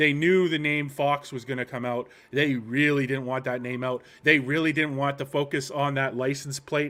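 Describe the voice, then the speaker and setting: A man speaks at a moderate pace. His voice sits fairly high in pitch. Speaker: political commentary streamer. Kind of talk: live commentary stream. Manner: animated; soft-spoken.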